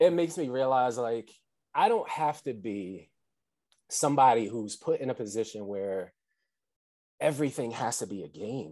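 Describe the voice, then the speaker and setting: With an American accent, a man speaks at a moderate pace and medium pitch, his intonation lively and his tone dark and mellow, leaving long, frequent pauses. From New Jersey, Atlantic City. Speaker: relationship coach. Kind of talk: podcast interview.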